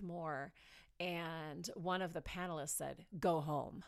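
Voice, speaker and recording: This is a normal speaking voice. It moves at a fairly slow pace with fairly even intonation. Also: woman. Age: 40s. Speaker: pastor. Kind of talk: casual chat.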